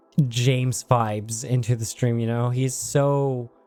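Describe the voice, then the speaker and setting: Music plays in the background as the speaker goes at a very slow pace with fairly even intonation. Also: man. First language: Dutch. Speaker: gaming streamer. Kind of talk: casual chat. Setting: livestream.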